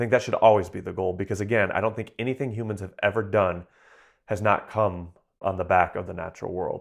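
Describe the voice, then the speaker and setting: Talking at a very fast pace with an American accent, a man keeps a fairly low pitch and fairly even intonation on a very clean recording with a silent background. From southeastern Michigan. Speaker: wildlife sound recordist and researcher. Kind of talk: interview.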